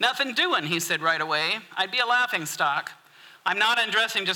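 This is a natural voice reading aloud with lively intonation.

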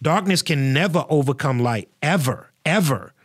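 This man has an unremarkable speaking voice, fairly high in pitch for a man, with ordinary pitch variation at a moderate pace. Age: 40s. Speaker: pastor and podcast host. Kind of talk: solo podcast commentary. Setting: studio.

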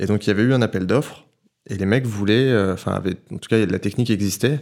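Here a man talks at a fairly quick pace with fairly even intonation, in a plain, everyday voice. The recording is very clean, with a silent background. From Paris, France. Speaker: photographer and filmmaker. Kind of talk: casual chat. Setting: at the guest's home.

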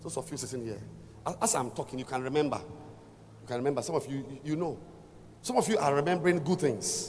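A man talks at a very fast pace in a fairly high pitch with lively intonation and vocal fry. His speech breaks into long, frequent pauses. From Ghana. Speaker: visiting preacher. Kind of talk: sermon. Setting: church with congregation.

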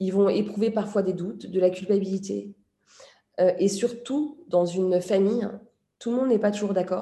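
At a moderate pace, a woman speaks at medium pitch with a dark, mellow tone and fairly even intonation. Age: 40s. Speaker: journalist and author. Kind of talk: interview.

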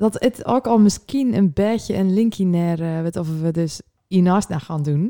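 A woman with a dark, mellow tone at medium pitch, lively intonation, and a fairly slow pace, in a dry, close, very clean recording with no echo and a silent background. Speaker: podcast co-host. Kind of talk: casual chat.

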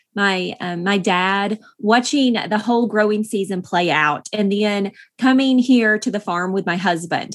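A woman with an East Tennessee accent, medium in pitch with ordinary pitch variation, at a moderate pace on a very clean recording with a silent background. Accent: Southern US (East Tennessee). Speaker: author and farm wife. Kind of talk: interview.

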